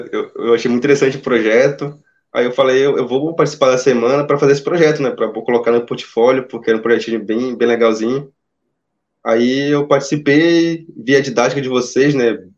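At a fairly quick pace, a man speaks in an unremarkable speaking voice of medium pitch with fairly even intonation. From Amazonas, Brazil. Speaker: engineering student turned junior programmer. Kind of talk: interview. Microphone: phone used for audio.

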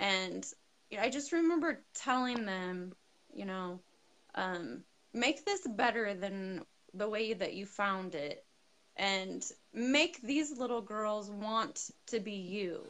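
A woman's fairly high voice in an American accent, at a very slow pace with lively intonation. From California, western US. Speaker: girls' sports coach. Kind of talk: interview on live video stream.

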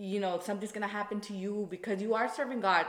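A woman talks at a fairly quick pace in a medium pitch. Noticeable background noise runs under her voice. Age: 20s. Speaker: podcast guest. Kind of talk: casual chat.

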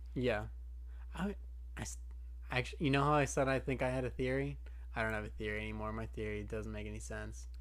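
Amid audible room echo, a man with a very deep, low voice talks very fast in a flat monotone, broken by long, frequent pauses. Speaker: anime podcast co-host. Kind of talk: casual chat.

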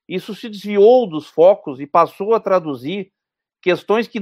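Speaking at a fairly slow pace, a man uses a high-pitched voice with ordinary pitch variation. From southern Brazil, Porto Alegre. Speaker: economist. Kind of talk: interview.

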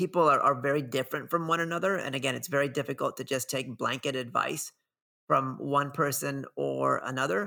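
A man's fairly high, bright and sharp voice with vocal fry, ordinary pitch variation and a fairly quick pace, on a very clean recording with a silent background. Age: 40s. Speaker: filmmaker and runner. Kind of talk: interview conversation.

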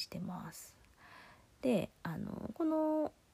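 In a very clean recording with a silent background, a woman sounds somewhat breathy, with a relaxed tone and very wide pitch swings. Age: 30s. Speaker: solo podcast host. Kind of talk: casual monologue. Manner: relaxed, hesitant with fillers.

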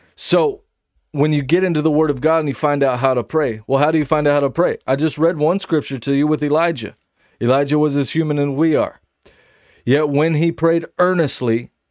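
A man speaks in a normal speaking voice at a fairly high pitch and a fairly quick pace. His intonation is fairly even and his loudness very even. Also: quiet background. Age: 30s. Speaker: preacher. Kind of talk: sermon.

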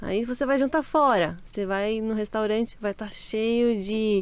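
Her pace is fairly slow. The woman's pitch moves with ordinary variation. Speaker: Brazilian emigrant. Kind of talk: casual interview.

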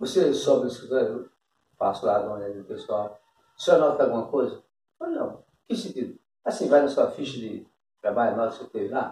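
Loudness shifts in big swings as this man speaks. His pace is fairly quick. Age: 60s. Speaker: interviewee. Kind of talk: casual chat.

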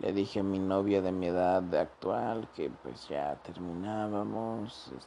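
The man's voice sits at a very deep, low pitch. It shows ordinary pitch variation. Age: 20s. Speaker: podcaster. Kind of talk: personal storytelling monologue. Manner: casual, profane.

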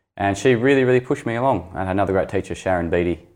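The speech is very fast, with lively intonation, in an Australian accent. The background is quiet. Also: man. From northern Tasmania, Launceston. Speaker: novelist. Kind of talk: interview.

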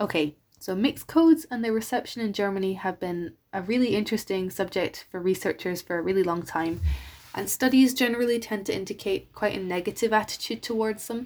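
A woman speaks at a fairly quick pace in a medium pitch with ordinary pitch variation, recorded very cleanly against a silent background. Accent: Irish. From Ireland. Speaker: university student. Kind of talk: scripted talk.

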